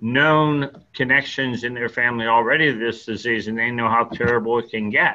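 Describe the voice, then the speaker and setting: This man has an American accent and medium pitch. His tone is bright and sharp. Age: 70s. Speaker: lung transplant recipient, patient advocate. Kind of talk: interview.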